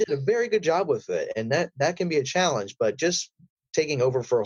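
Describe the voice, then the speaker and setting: An unremarkable speaking voice from a man, fairly quick in pace and lively in intonation. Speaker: voice actor. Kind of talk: interview answer.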